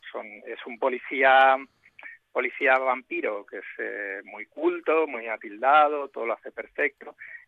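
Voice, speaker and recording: Speaking at a fairly slow pace, a man's voice swings widely in loudness. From Spain, Barcelona. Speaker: writer and IT professional. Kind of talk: interview.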